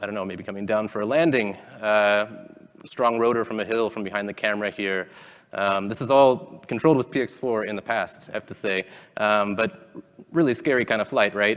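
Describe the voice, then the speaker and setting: With an ordinary speaking voice, a man talks at a fairly quick pace, fairly low in pitch, with ordinary pitch variation. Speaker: conference speaker, robotics engineer. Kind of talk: technical conference talk. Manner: many filler ums.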